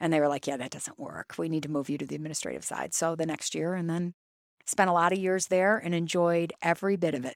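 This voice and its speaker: This is an ordinary speaking voice with an American accent. The recording is very clean, with a silent background. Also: woman. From Toledo, Ohio. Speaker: school superintendent. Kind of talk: interview. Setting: studio.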